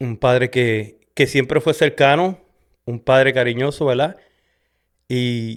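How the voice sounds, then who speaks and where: At a very slow pace with long, frequent pauses, a man with a Puerto Rican accent speaks at a medium pitch with ordinary pitch variation. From Puerto Rico, west (Sabana Grande). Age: 40s. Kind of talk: testimony. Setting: in front of a camera. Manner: halting, many fillers.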